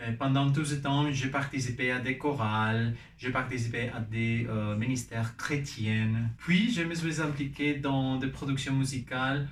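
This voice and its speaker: Somewhat breathy, a man with a Spanish accent speaks at medium pitch with fairly even intonation. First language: Spanish (speaking French). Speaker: vlogger and musician. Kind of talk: personal vlog in a learned language. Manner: halting, with fillers and restarts.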